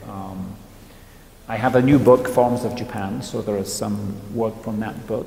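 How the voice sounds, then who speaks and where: A man at a moderate pace with fairly even intonation, amid audible room echo and noticeable background noise. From northern England. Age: 60s. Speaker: photographer. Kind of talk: interview monologue. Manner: hesitant, many repeated words and fillers.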